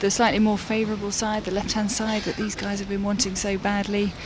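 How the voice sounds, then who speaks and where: Through noticeable background noise and audible room echo, a woman of medium pitch speaks at a very fast pace. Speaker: on-the-water sailing commentator. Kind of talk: live commentary. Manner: quiet.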